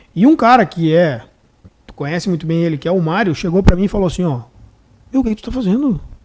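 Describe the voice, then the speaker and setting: With lively intonation, a man speaks at a high pitch in a dark, mellow tone. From Rio Grande do Sul, Brazil (Santo Ângelo). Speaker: public defender. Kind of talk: casual chat. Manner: halting, many repetitions.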